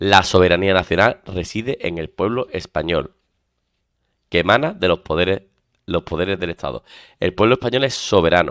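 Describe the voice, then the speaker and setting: A man with a very deep, low pitch speaks in an Andalusian accent, leaving long, frequent pauses. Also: ordinary pitch variation, moderate pace, dry, close sound with no echo, very clean recording, silent background. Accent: Andalusian (Seville). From Spain, Seville. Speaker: exam prep teacher. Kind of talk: lecture.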